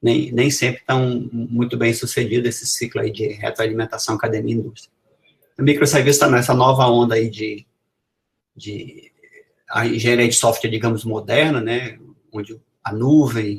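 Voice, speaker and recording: A man speaks at a moderate pace with a somewhat breathy voice. His intonation is monotone and flat, broken by long, frequent pauses. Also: medium pitch for a man. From Brazil, Amazonas. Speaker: professor. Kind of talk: lecture.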